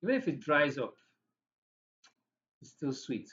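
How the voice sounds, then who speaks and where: In a Nigerian accent, a man speaks with a fairly high pitch. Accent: Nigerian English, Igbo. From Nigeria, Igbo. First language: Igbo. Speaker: podcast host. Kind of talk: casual educational talk.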